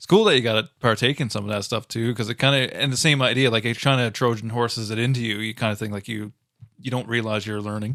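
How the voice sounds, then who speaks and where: Very fast and bright with a sharp tone, a man's medium-pitched voice keeps fairly even intonation in a very clean recording with a silent background. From Central Newfoundland, Botwood. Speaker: podcast host. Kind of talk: casual podcast chat.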